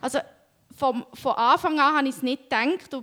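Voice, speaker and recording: A woman speaks at a moderate pace in a high pitch, with ordinary pitch variation. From Switzerland (Jura), then Canada and Romania. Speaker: interview guest sharing life story. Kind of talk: personal testimony interview.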